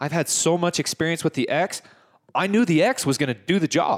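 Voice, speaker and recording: A man speaks in a high pitch with lively intonation. The recording is very clean, dry and close, with a silent background and no echo. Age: 30s. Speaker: podcast host, hunter. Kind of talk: casual interview chat.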